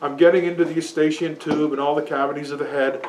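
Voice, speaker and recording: A man talks loudly. Noticeable background noise runs behind him. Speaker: seminar participant demonstrating a device. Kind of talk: demonstration to a small group. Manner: halting, many restarts. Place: shop. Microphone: camera far.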